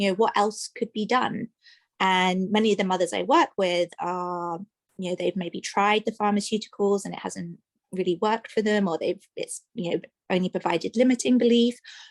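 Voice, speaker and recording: In an English accent, a woman speaks at medium pitch and a moderate pace, the sound dry and close with no echo over a quiet background. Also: ordinary pitch variation. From England, London. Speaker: maternal mental health practitioner. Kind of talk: radio interview.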